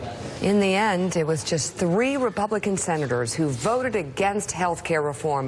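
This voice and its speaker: A woman's fairly low voice with very wide pitch swings, set against noticeable background noise. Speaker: TV news co-host. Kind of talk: TV news opening monologue. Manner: smug, drawn-out.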